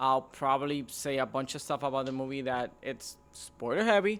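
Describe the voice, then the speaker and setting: With a non-native accent, a man speaks at a fairly slow pace and a fairly high pitch. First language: not English. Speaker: movie reviewer, YouTuber. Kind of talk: casual video review monologue.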